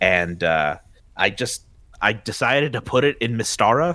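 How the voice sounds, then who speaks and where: Bright and sharp in tone, a man speaks with lively intonation. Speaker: podcast host. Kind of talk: casual chat, podcast interview.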